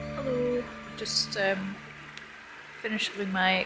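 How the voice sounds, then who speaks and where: A soft-spoken woman against noticeable background noise. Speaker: vlogger. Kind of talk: vlog monologue. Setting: outdoors by a river.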